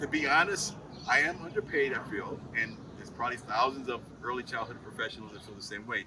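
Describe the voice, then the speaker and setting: Over noticeable background noise, a man talks very fast at a medium pitch, with ordinary pitch variation and big swings in loudness. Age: 70s. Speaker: early childhood teaching assistant. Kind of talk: casual interview.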